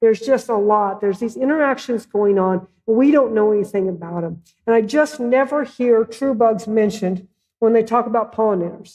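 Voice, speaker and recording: With a Midwestern accent, a woman talks in an animated tone at a fairly high pitch. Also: ordinary pitch variation. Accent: Midwest. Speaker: plant ecologist presenting on insects. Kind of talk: lecture presentation.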